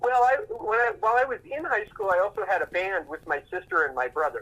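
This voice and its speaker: Raising and projecting his voice, a man with an American accent talks fairly quickly with lively intonation. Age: 60s. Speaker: rock guitarist. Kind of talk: interview. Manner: halting, many fillers and repeats.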